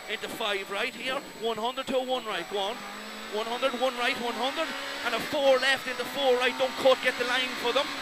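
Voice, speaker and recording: Over loud background noise, a man with an Irish accent uses a raised, projected voice at an extremely high pitch, in a dry sound with no echo. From Ireland. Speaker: rally co-driver. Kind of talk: rapid-fire rally pacenotes read aloud over engine noise. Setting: inside a rally car during a stage. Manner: clipped, urgent, relentless stream of numbers and calls; repeats warnings insistently, exhorting driver. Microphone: headset.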